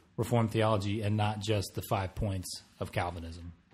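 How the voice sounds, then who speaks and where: Against a quiet background, a man with an American accent talks at a moderate pace, his fairly low, somewhat breathy voice carrying fairly even intonation. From Chicago, US Midwest. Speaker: seminary student. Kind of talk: casual interview.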